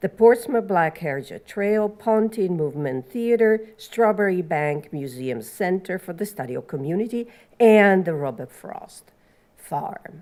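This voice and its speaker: In an Italian accent, a woman speaks at a fairly slow pace with a medium pitch, a dark, mellow tone and very wide pitch swings. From Italy. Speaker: panel moderator. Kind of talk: panel introduction.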